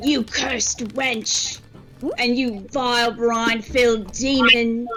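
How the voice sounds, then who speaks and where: Using a put-on character voice at a fairly high pitch, a woman talks at a fairly slow pace over faint music in the background. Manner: yelling, shouting.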